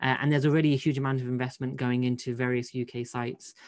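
Against a quiet background, the speech rushes at a very fast pace in a monotone with flat intonation. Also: man. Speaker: university lecturer and program director. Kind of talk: online information webinar. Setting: video call. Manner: formal, with frequent fillers. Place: home room.

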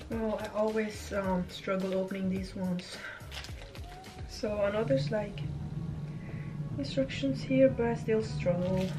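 The speaker talks at a fairly slow pace with long, frequent pauses while music plays clearly in the background. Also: woman. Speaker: travel vlogger. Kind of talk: casual vlog chat. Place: home room. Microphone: phone near.

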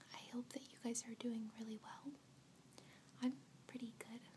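A soft-spoken woman's voice, gentle in tone and monotone and flat in intonation, over light background noise. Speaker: vlogger. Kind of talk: casual vlog chat. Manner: soft-spoken, gentle, close to camera. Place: home room. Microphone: webcam.

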